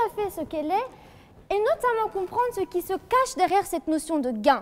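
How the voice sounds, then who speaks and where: A woman's extremely high voice with a slight Franche-Comté accent, very wide pitch swings and a fairly quick pace over noticeable background noise. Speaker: law student, eloquence contestant. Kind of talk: competitive oratory speech. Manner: formal, rhetorical.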